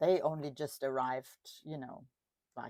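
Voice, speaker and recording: A dark, mellow tone with a German accent at a moderate pace. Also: woman. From Germany. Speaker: craft YouTuber. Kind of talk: crafting tutorial chat. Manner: casual, with fillers.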